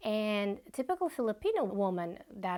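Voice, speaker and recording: A woman with a Russian accent speaks at a fairly high pitch. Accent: soft Russian. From Bashkortostan, Russia. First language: Bashkir. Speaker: vlogger. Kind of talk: personal vlog monologue.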